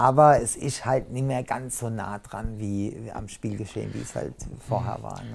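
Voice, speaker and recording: Using an unremarkable speaking voice, a man talks at a moderate pace and a medium pitch with fairly even intonation. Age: 50s. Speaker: inclusion coach. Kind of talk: casual interview.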